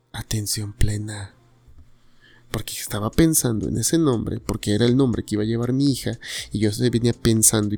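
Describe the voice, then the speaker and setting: With a Mexican accent, a man talks at a fairly quick pace. His pitch is fairly low, with ordinary variation. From Mexico, Tuxtepec, Oaxaca. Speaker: podcast host. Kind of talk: personal monologue. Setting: home living room at night.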